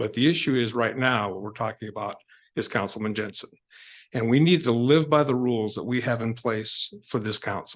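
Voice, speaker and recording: This is a normal speaking voice, with a man talking at a fairly quick pace and a medium pitch. His pitch variation is ordinary, and the background is quiet. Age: 60s. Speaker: public commenter at city council. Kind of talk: public comment speech. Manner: formal.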